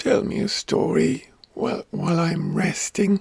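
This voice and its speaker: A put-on character voice from a man, raspy and high in pitch. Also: moderate pace. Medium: read story.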